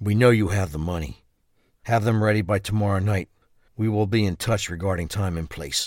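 A man talks in a normal speaking voice, fairly low in pitch, at a moderate pace with fairly even intonation. The recording is very clean, with a silent background. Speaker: voice actor playing Bruce. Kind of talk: scripted dramatic dialogue.

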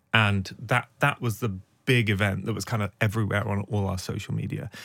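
In a British accent, a man with a fairly low pitch speaks at a moderate pace with fairly even intonation on a very clean recording with a silent background. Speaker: investigative journalist and podcast host. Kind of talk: interview.

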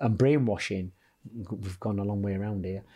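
The speaker is a man. His tone is dark and mellow. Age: 50s. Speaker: boxing coach. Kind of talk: casual chat. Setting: studio.

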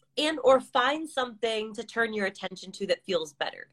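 A woman with an American accent speaks with lively intonation, recorded dry and close with no echo. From California. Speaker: podcast host and divorce coach. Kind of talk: casual chat. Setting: live video call. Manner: animated.

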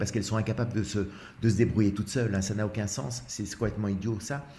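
With audible room echo, a man talks at a medium pitch with fairly even intonation. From Belgium. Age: 60s. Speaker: actor in a one-man show about couples. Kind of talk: casual chat. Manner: halting, many repetitions.

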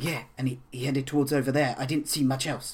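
Using a put-on character voice, a man talks at a fairly quick pace. His pitch is medium and his intonation is monotone and flat.

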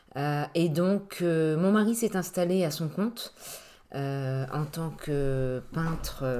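The speaker is a woman with a fairly low pitch and ordinary pitch variation. She talks at a very slow pace. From Brittany, Brest. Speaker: real estate agent. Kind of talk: interview. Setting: at the guest's home. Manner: hesitant, many fillers.

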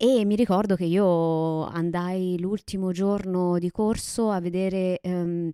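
Her voice is dark and mellow, with monotone, flat intonation. The sound is dry and close, with no echo. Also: very clean recording, silent background. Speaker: podcast co-host. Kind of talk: casual chat.

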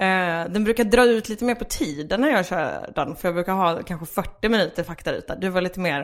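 Speaking fairly quickly with hardly any pauses, a woman uses lively intonation at a medium pitch in an unremarkable speaking voice. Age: 20s. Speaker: stand-up comedian. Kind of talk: casual chat.

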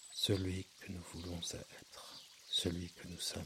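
A man speaks in a soothing tone. Noticeable background noise sits behind his voice. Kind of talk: guided hypnosis for sleep. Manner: slow, soft, soothing, hypnotic.

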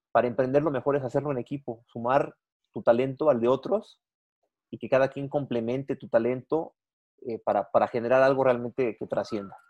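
An unremarkable speaking voice from a man, medium in pitch, at a fairly quick pace with fairly even intonation and big swings in loudness. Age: 40s. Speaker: business journalist and entrepreneur. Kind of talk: interview.

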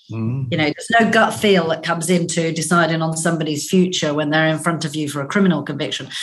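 Over noticeable background noise and audible room echo, a woman talks very fast in a very deep, low pitch with ordinary pitch variation. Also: hardly any pauses. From Northern Ireland. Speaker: business executive. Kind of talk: interview.

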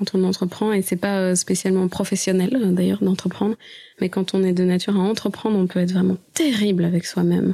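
A woman's somewhat breathy, medium-pitched voice with a dark, mellow tone, flat monotone intonation, very even loudness and a fairly quick pace. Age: 30s. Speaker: musician. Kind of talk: interview.

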